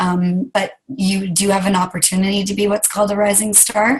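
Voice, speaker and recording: Somewhat breathy and medium in pitch, a woman speaks with fairly even intonation. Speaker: sales team leader and fitness instructor. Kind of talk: team meeting talk.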